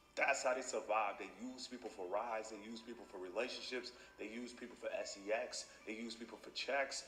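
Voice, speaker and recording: A man with an American accent speaks at a moderate pace and a medium pitch. His tone is animated with ordinary pitch variation, and room echo is audible. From United States. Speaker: YouTuber. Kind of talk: casual commentary monologue.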